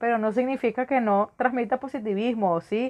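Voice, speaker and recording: A woman with a Venezuelan accent speaks at a moderate pace in a fairly high pitch. The background is quiet. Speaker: podcast host and teacher. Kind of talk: podcast monologue on education.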